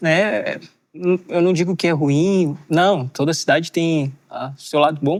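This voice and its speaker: The recording is very clean, with a silent background. A man with a high voice speaks at a fairly slow pace. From Bahia, Brazil (Valença). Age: 20s. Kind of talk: casual podcast interview.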